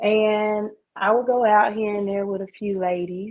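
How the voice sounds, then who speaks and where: Loud and at a moderate pace, a woman speaks with a medium pitch. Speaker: caller. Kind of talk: casual chat. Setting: phone call. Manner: animated.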